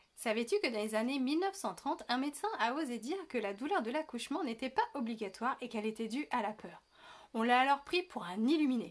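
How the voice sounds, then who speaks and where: With hardly any pauses, a woman talks at a fairly quick pace in a high pitch with lively intonation. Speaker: birth preparation coach, video creator. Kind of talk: educational video monologue. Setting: indoors, window open. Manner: casual, lively.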